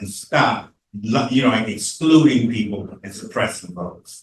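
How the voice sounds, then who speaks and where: The speaker's voice is somewhat breathy and moves at a moderate pace. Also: man. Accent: American. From Virginia, Newport News (US South). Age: 70s. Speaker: campaign treasurer and panelist. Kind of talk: panel debate. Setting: church panel event with audience.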